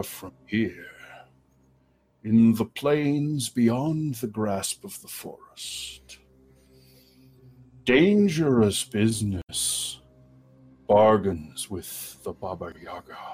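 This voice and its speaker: A man does a put-on character voice at medium pitch. He goes very slowly, with long, frequent pauses. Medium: actual play. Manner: slow, formal, measured.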